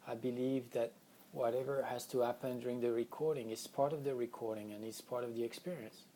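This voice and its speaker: A man speaks at a medium pitch and a fairly quick pace, with a dark, mellow tone. His intonation stays monotone and flat. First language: not English. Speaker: spiritual healing teacher. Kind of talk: spiritual teaching session. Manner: unscripted, occasional word searching.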